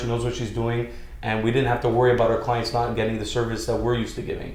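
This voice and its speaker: Audible room echo surrounds a man as he speaks. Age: 30s. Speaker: real estate broker and nightclub owner. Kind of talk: podcast interview.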